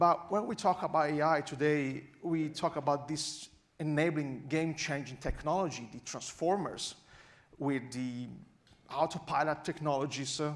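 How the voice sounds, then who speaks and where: With a strong Italian accent, a man talks in a fairly high voice and fairly even intonation. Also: moderate pace. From Italy. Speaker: AI researcher and conference speaker. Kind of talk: conference talk.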